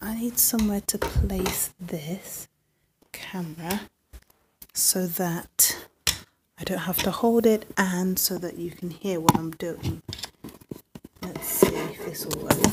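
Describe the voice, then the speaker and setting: Soft-spoken and somewhat breathy, a woman talks at a very slow pace with long, frequent pauses and fairly even intonation. Her loudness swings widely over loud background noise. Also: medium pitch for a woman. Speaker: music producer and livestreamer; livestreamer. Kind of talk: casual livestream chat. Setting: home livestream. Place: home room. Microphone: phone near.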